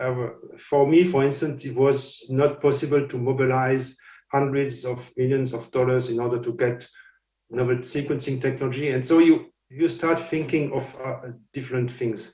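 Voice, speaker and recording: In a French accent, a man speaks at a medium pitch with a dark, mellow, somewhat breathy tone and monotone, flat intonation. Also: moderate pace. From France. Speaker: scientist and company founder. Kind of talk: lecture. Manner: halting, many fillers and repetitions.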